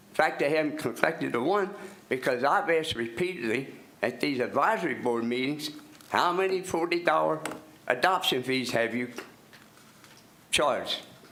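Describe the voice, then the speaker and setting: The speaker has an American accent, ordinary pitch variation, and long, frequent pauses. Audible room echo and noticeable background noise are present. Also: man, fairly high pitch for a man, moderate pace. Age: 80s+. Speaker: resident speaking at public comment. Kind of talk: public comment at county meeting. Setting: public meeting room. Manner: halting, repetitive.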